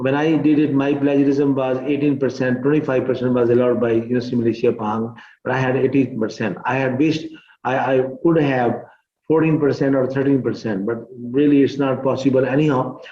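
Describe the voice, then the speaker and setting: With a Pakistani accent, a man speaks at a medium pitch and a fairly quick pace in a monotone, flat delivery, and audible room echo surrounds his voice. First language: Urdu. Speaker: teacher. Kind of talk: tutorial. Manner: halting.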